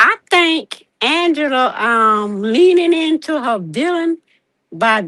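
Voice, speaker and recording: A woman's raised, projected voice, bright and sharp, with very wide pitch swings and a dry, close sound with no echo. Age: 60s. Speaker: caller. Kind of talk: casual chat.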